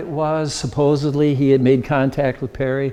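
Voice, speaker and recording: The tone is dark and mellow. The speech moves at a moderate pace. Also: man. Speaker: local history presenter. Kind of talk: slide presentation to a dinner audience.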